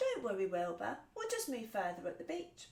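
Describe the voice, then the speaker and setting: A woman's put-on character voice, medium in pitch, at a moderate pace. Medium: read story.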